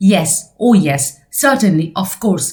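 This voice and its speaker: In a put-on character voice, a woman talks fairly slowly with a croaky, medium-pitched sound. Her intonation is lively. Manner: submissive, fearful.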